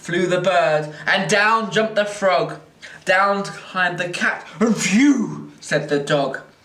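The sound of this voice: Unforced reading voice.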